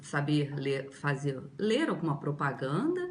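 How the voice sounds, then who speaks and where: Somewhat breathy and very deep, low in pitch, a woman speaks at a very slow pace with lively intonation amid audible room echo. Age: 60s. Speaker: language student. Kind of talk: testimonial.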